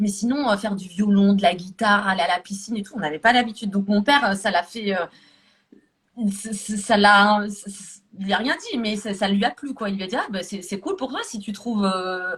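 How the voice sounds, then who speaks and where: A woman speaks at a moderate pace with a medium pitch. Her pitch varies in an ordinary way, while her loudness swings widely. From France, Paris-area suburbs (banlieue), Moroccan parents. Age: 30s. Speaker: calligraphy hobbyist. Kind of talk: casual interview. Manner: hesitant, many repetitions.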